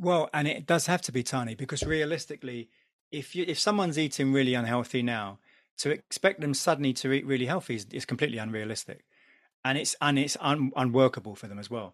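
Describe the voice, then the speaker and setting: A man talks at a very fast pace in a London accent. His medium-pitched voice has ordinary pitch variation against a quiet background. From London, England. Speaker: DJ and podcaster. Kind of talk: casual chat.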